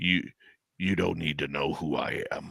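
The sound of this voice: Putting on a character voice, a man talks at a moderate pace in a raspy tone.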